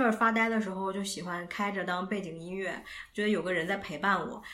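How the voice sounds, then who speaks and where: Here is a woman with a normal speaking voice. She talks at a fairly quick pace with fairly even intonation. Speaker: podcast co-host, student. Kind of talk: casual chat.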